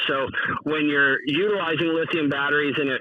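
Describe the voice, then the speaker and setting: A man's fairly high voice with an American accent, ordinary pitch variation and a fairly quick pace, over noticeable background noise. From US West Coast. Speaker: decoy inventor and business owner. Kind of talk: casual podcast interview. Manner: casual, many filler words.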